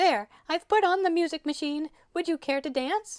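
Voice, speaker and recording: A squeaky, put-on character voice moves at a moderate pace. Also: female-sounding voice, extremely high pitch for a woman. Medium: read story. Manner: grand, lively.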